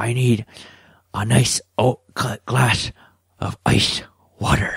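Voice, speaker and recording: A man puts on a raspy character voice at a medium pitch. He talks at a very slow pace with monotone, flat intonation. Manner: bad, exaggerated impression.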